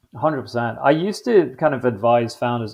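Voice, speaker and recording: In an English accent, this man talks at a moderate pace. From London, England. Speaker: podcast host. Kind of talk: interview conversation. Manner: casual, filler-heavy.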